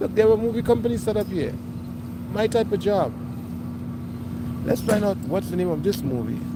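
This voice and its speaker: Amid noticeable background noise and audible room echo, a man talks in an animated tone at a moderate pace. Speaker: live streamer. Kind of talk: live street vlog. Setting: outdoors.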